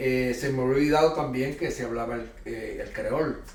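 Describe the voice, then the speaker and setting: A fairly quick-paced man amid noticeable background noise and audible room echo. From Puerto Rico. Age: 60s. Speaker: pastor and missionary. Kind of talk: interview testimony.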